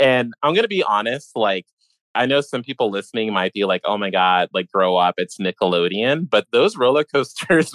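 A man with an American accent and an ordinary speaking voice talks at a moderate pace and medium pitch with lively intonation, the sound dry and close with no echo against a quiet background. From Illinois and Virginia. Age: 30s. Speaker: podcast host. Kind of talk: casual chat.

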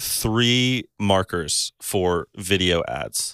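With an ordinary speaking voice, a man talks at a fairly low pitch with ordinary pitch variation, in a dry, close sound with no echo. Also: very clean recording, silent background. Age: 20s. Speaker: videographer and photographer. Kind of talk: casual chat.

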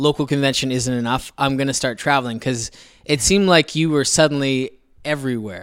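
A man with a plain, everyday voice and fairly high pitch speaks at a moderate pace with ordinary pitch variation, on a very clean recording with a silent background. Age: 30s. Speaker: artist and podcast co-host. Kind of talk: casual chat.

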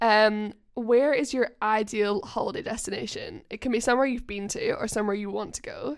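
A woman with a plain, everyday voice, fairly high in pitch, at a fairly quick pace with hardly any pauses and ordinary pitch variation, on a very clean recording with a silent background. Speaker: guest interviewer. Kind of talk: casual chat.

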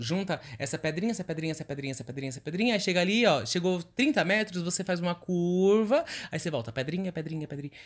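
A man's high voice at a very fast pace, animated and lively in intonation, on a very clean recording with a silent background. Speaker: podcast co-host. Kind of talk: casual chat.

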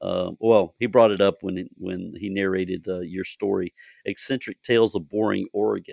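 Recorded dry and close with no echo against a quiet background, a man with a normal speaking voice talks at a moderate pace. His pitch is fairly low and his intonation fairly even. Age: 50s. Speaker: podcast host and horror author. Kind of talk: casual interview chat.

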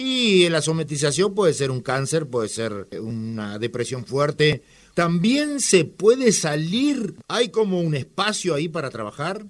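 A man speaks at a fairly slow pace with hardly any pauses, his fairly high pitch swinging very widely. The recording is very clean, with a silent background. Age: 60s. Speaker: radio host. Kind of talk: radio interview.

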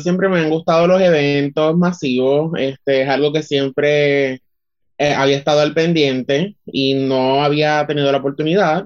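This man has an unremarkable speaking voice with fairly high pitch. He talks at a fairly slow pace with fairly even intonation. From Puerto Rico, Utuado. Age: 20s. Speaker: communications student and artist. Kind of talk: interview.

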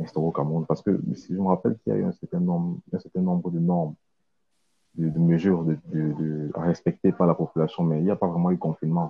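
A man with a very deep, low pitch. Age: 20s. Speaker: accountant. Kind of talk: interview. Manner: halting.

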